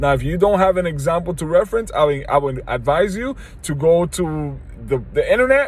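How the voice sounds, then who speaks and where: A high-pitched man with very wide pitch swings over noticeable background noise. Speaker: video commentator. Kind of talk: monologue. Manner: halting, repeats words.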